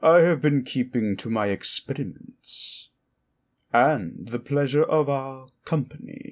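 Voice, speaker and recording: Here a man uses a put-on character voice with lively intonation at a fairly slow pace. The recording is very clean, with a silent background. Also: fairly high pitch for a man. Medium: solo performance. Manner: sly, mocking, condescending.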